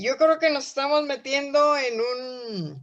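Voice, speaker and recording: The setting behind her is quiet. A woman talks very slowly. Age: 80s+. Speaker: course participant. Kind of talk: class discussion.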